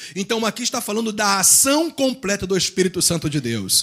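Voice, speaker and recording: Bright and sharp in tone, a soft-spoken man talks in a calm tone in a very clean recording with a silent background. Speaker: pastor. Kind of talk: sermon. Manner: calm, soft-toned preaching.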